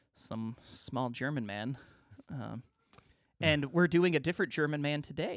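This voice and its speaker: Here a man speaks in a playful tone at a moderate pace. The recording is very clean, with a silent background. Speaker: podcast host. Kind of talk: casual banter. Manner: joking, playful.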